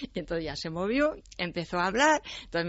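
This woman has an ordinary speaking voice with a fairly low pitch. She talks at a fairly quick pace. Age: 60s. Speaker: writer and translator. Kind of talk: interview.

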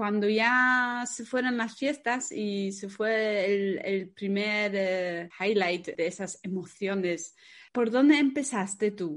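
With a non-native accent, the speaker talks at a very slow pace with hardly any pauses and ordinary pitch variation against a quiet background. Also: woman, medium pitch for a woman. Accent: foreign accent in Spanish. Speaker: podcast host, wedding planner. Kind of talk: casual interview.

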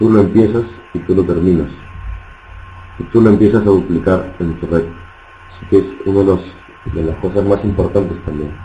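Leaving long, frequent pauses, a man with a very deep, low pitch speaks at a moderate pace with fairly even intonation. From Peru. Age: 20s. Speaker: network marketing trainer. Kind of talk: motivational training talk. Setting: online webinar.

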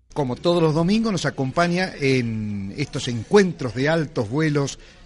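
This man talks with lively intonation, a fairly high pitch and a somewhat breathy sound. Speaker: radio host. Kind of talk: radio interview.

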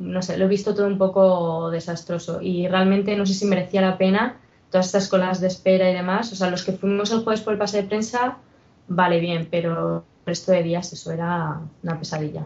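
A somewhat breathy woman's voice at a medium pitch, with fairly even intonation and a fairly quick pace. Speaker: podcast panelist. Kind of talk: casual chat.

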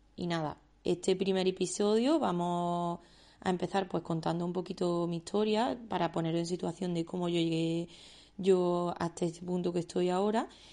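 Over a quiet background, a woman speaks at a moderate pace in a fairly low, dark, mellow voice with monotone, flat intonation. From Andalusia, Spain (Córdoba). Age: 20s. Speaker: illustrator and podcast host. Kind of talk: personal monologue.

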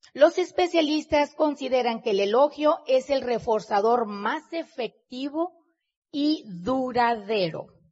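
A woman speaks very slowly in a high pitch. Her intonation is lively. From Mexico. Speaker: business leader and motivational speaker. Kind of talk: motivational talk to live audience. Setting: stage with audience.

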